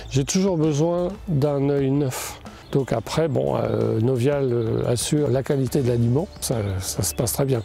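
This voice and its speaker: A man speaks at a very slow pace with ordinary pitch variation and very even loudness, against noticeable background noise. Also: medium pitch for a man. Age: 60s. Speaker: poultry farmer. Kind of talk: interview testimony. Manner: hesitant, many fillers.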